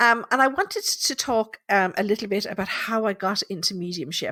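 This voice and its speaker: Recorded very cleanly with a silent background and a dry, close sound with no echo, a woman with a Tipperary accent speaks at a moderate pace and medium pitch with lively intonation. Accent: Irish (Tipperary). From Ireland, Thurles, Tipperary. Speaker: psychic medium. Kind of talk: casual live podcast monologue. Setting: live podcast from home.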